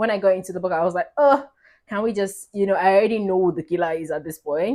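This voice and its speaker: A woman at medium pitch in an animated tone, ordinary pitch variation, a very fast pace, a very clean recording with a silent background. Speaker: book reviewer. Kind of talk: casual vlog talk.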